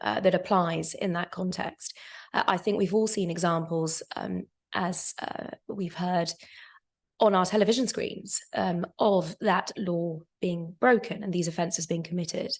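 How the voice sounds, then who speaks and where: With a quiet background, a woman speaks somewhat breathily at a fairly slow pace, her fairly low pitch held in fairly even intonation. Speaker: lawyer on a debate panel. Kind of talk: panel debate. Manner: halting, many fillers; formal.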